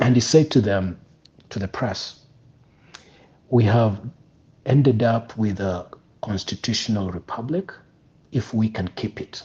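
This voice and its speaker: A somewhat breathy voice at a fairly slow pace with long, frequent pauses. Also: man. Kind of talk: casual discussion. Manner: throat clearing.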